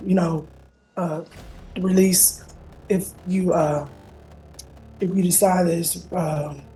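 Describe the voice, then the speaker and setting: Very slow, monotone speech from a woman with a fairly low pitch, broken by long, frequent pauses, with audible room echo. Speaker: defendant in court. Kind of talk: courtroom testimony. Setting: courtroom. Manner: halting.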